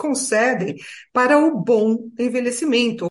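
With a São Paulo accent, a woman speaks very slowly at a high pitch with lively intonation. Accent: Brazilian Portuguese, São Paulo. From Brazil, São Paulo. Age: 60s. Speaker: retired lawyer and writer on ageing. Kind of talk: interview.

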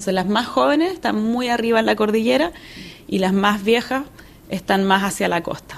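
A fairly high-pitched woman with a Chilean accent, lively intonation and a moderate pace. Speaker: geologist and academic. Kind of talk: interview. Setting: on location at award event in Paris.

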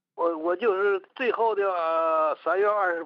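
A man's high-pitched voice at a fairly slow pace. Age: 70s. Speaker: radio listener. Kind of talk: phone interview. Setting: phone call. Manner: halting.

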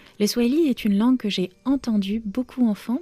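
A somewhat breathy voice with a dark, mellow tone. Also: woman. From Romania. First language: Romanian (speaking French). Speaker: novelist. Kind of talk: interview.

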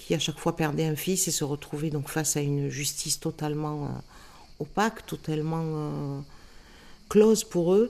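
A woman's very deep, low voice, dark and mellow in tone, at a fairly slow pace with fairly even intonation. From Marseille, France. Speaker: anti-racism activist. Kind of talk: testimony.

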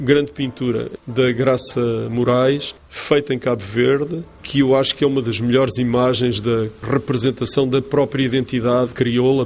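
A plain, everyday voice: a man of medium pitch at a moderate pace, with fairly even intonation. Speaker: art curator. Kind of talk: interview. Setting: art gallery.

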